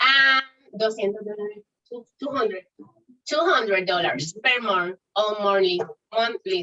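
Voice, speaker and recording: Speaking at a fairly slow pace, a woman leaves long, frequent pauses. Her voice is fairly high, with ordinary pitch variation. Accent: Spanish. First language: Spanish. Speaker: startup founder. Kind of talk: pitch competition Q&A. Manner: halting.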